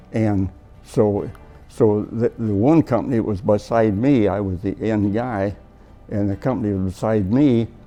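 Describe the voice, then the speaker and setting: Over music in the background, a man with an American accent speaks at a fairly slow pace in a fairly low voice. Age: 80s+. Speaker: war veteran. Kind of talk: interview answer.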